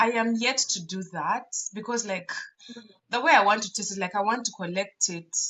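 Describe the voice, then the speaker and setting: A woman's animated voice with a Ugandan accent, fairly high in pitch, with ordinary pitch variation and a moderate pace. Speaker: podcast co-host. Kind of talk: casual chat.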